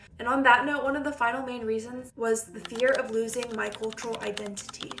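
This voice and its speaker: In a room with audible echo and noticeable background noise, a woman with an American accent speaks high-pitched and fairly quickly in a monotone, flat intonation. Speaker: vlogger, student. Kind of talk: personal vlog monologue. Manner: casual, conversational.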